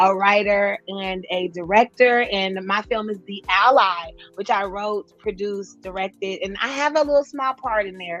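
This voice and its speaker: A woman with an American accent speaks in a bright, sharp tone. Her pitch is fairly high and her intonation fairly even. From Kansas City, Missouri, US Midwest. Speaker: filmmaker and stand-up comedian. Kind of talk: casual interview chat.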